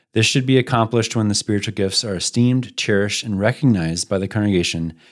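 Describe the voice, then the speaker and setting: In a very clean recording with a silent background, a man talks in an ordinary speaking voice, fairly low in pitch with ordinary pitch variation. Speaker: podcast host and church planter. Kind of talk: podcast conversation about church planting.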